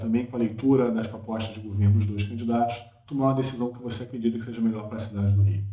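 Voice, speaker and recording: A man with a fairly low pitch talks with fairly even intonation. Audible room echo and noticeable background noise fill the recording. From Brazil, Rio de Janeiro. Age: 30s. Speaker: political commentator. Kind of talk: political opinion monologue.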